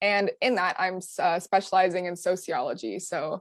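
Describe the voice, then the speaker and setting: Recorded very cleanly with a silent background and a dry, close sound with no echo, an unremarkable speaking voice moves at a moderate pace. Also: woman. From Canada, Ottawa. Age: 20s. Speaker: student activist. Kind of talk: presentation.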